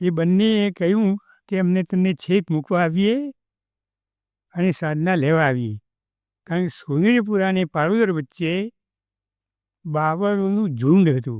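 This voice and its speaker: Against a quiet background, a man's high-pitched voice carries ordinary pitch variation in a dry, close sound with no echo. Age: 80s+. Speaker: retired teacher. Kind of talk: podcast interview answer.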